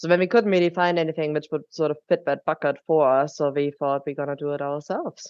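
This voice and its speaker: With a German accent, a woman speaks very fast in a very deep, low voice, with hardly any pauses and fairly even intonation. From Germany. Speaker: drinks company co-founder. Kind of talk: podcast interview.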